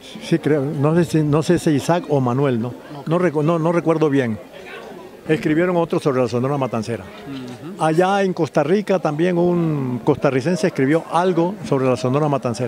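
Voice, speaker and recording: A man's fairly high voice at a moderate pace with ordinary pitch variation, dry with no echo, crowd noise in the background. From Colombia. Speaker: writer and music historian; interviewee. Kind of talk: interview. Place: street. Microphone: handheld.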